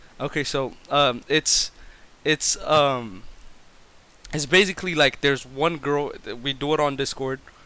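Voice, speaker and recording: Bright and sharp in tone, a man with a non-native accent speaks at a fairly high pitch and a fairly slow pace, keeping his intonation fairly even through long, frequent pauses. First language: not English. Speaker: streamer. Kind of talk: casual chat. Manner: stutters.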